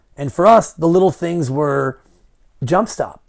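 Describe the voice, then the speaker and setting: Intonation is lively. A man speaks at a moderate pace. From Marin County, California. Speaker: radio broadcaster and former basketball coach. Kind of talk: casual interview.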